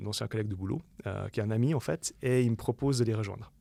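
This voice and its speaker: Fairly quick and at a medium pitch, a man speaks with ordinary pitch variation on a very clean recording with a silent background. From Switzerland, Lausanne-Morges region. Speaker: UX designer and entrepreneur. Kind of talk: podcast interview. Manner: animated, many fillers.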